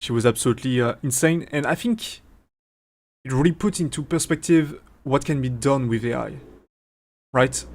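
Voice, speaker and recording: A man with a strong French accent speaks at a moderate pace, with long, frequent pauses. His pitch is medium with ordinary variation, and the recording is very clean with a silent background. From France. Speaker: streamer and AI VTuber developer. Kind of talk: live stream Q&A. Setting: live stream with chat. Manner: halting, many fillers and restarts.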